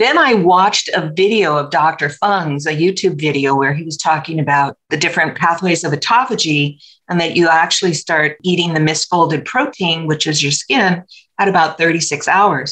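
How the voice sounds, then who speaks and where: This woman has a plain, everyday voice, fairly low in pitch with ordinary pitch variation. She speaks at a moderate pace. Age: 60s. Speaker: health coach, retired nurse. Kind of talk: podcast interview.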